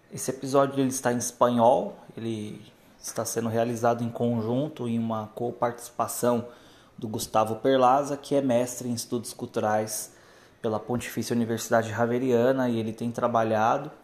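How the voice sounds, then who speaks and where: The delivery is flat and monotone at a moderate pace. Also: man, medium pitch for a man. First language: Portuguese (speaking Spanish). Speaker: podcast host, master's student. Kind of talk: podcast intro; interview.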